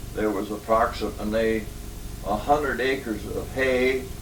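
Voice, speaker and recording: Speech comes at a fairly slow pace with audible room echo and noticeable background noise. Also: man. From Washington State, Lake Chelan area. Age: 80s+. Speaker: elderly local pioneer interviewee. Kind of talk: oral history interview. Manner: halting, many fillers.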